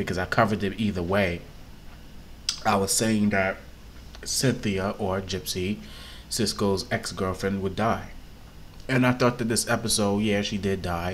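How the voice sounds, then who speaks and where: A soft-spoken man at a fairly low pitch and moderate pace, with fairly even intonation and long, frequent pauses. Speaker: YouTube TV reviewer. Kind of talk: casual review vlog. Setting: at home, on camera. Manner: soft-spoken, talking low.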